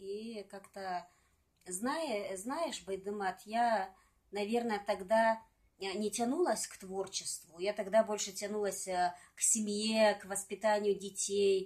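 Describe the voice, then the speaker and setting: Over a quiet background, a woman talks at a very slow pace with fairly even intonation. Her loudness swings widely. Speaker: singer and poet. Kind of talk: casual interview chat with poem reading. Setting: at home. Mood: calm, reflective. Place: home room. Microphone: phone near.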